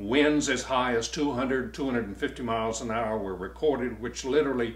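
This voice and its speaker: A man's medium-pitched voice with vocal fry and an American accent, in audible room echo. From US South, Virginia. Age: 80s+. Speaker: war veteran. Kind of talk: testimony.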